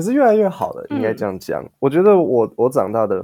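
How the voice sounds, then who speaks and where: With a dark, mellow tone, a man talks at a very fast pace and his pitch swings very widely. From Taiwan. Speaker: English teacher podcaster. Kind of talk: casual chat interview.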